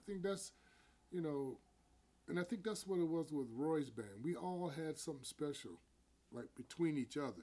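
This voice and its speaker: A man's dark, mellow tone comes at a moderate pace. He leaves long, frequent pauses. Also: fairly high pitch for a man, lively intonation. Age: 60s. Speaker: jazz bassist. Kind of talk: casual chat. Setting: at home.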